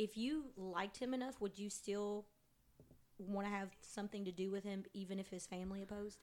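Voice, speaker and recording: A woman talks in a normal speaking voice at a medium pitch, using fairly even intonation and a fairly quick pace. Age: 30s. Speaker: podcast co-host. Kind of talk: casual chat. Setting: home apartment living room.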